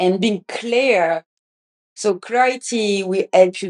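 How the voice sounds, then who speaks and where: With a French accent, a woman talks at a fairly slow pace with ordinary pitch variation in a dry, close sound with no echo. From France. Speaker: podcast host. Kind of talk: casual podcast monologue. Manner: halting, many restarts.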